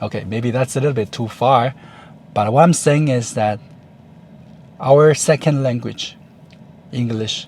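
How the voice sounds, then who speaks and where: A man speaks at a fairly slow pace, with a medium pitch and ordinary pitch variation. He leaves long, frequent pauses. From Taiwan. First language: Chinese. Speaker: YouTuber. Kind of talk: vlog monologue. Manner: halting, with fillers.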